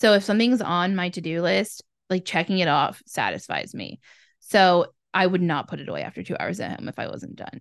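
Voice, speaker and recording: A woman's fairly low voice with vocal fry, over a quiet background. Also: ordinary pitch variation, fairly quick pace. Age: 20s. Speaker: podcast co-host. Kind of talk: casual chat.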